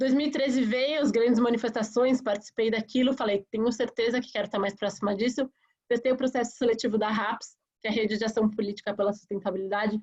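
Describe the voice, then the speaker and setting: Speaking very fast, a woman has a fairly high pitch and a somewhat breathy voice. Her intonation stays fairly even. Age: 30s. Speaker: politician, mayoral candidate. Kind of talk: campaign presentation in a webinar. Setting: online webinar.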